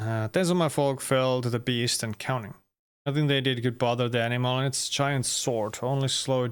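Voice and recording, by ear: With a quiet background, the clip features reading aloud in a natural voice and fairly even intonation.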